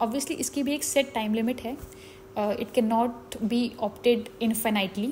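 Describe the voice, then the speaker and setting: Against noticeable background noise, a woman with a fairly high pitch and ordinary pitch variation talks with hardly any pauses. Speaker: chartered accountant. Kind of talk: educational explainer on tax law.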